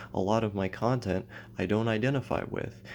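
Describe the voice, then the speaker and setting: The quiet voice keeps a moderate pace and fairly even intonation. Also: man. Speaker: YouTuber. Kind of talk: personal vlog monologue.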